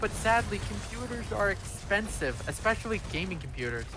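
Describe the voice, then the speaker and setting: Over music in the background and audible room echo, a man speaks at a moderate pace. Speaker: streamer. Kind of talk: casual chat. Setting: live stream gaming session. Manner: loud.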